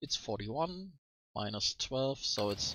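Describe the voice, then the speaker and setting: With a German accent, a man is speaking. His pitch variation is ordinary. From Germany. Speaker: let's play gamer. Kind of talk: casual gameplay commentary. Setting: home microphone, sometimes poor audio.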